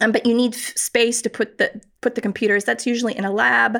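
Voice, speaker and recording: A woman's ordinary speaking voice with an American accent, fairly high in pitch, at a moderate pace with fairly even intonation. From North America (US, studied in Buffalo, New York). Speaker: professor. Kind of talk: interview.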